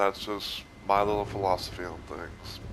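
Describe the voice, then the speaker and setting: A man speaks over noticeable background noise. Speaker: gaming youtuber. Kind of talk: casual rant. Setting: recording from a game console. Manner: slurred speech; rambling, filler-heavy.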